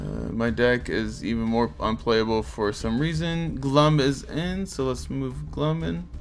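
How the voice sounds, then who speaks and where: Very slowly, a man speaks amid audible room echo and music in the background. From Portugal. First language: Portuguese. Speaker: gaming streamer. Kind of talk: casual live stream chat. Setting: live stream.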